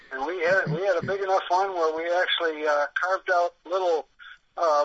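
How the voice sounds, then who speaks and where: Here a man speaks at a high pitch and a moderate pace. His intonation stays fairly even. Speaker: pro angler. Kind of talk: casual chat. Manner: halting.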